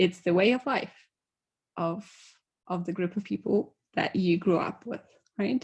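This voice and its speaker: At a fairly slow pace with long, frequent pauses, a woman speaks in a somewhat breathy, medium-pitched voice with ordinary pitch variation. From Poland. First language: Polish. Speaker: conference speaker. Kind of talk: conference talk.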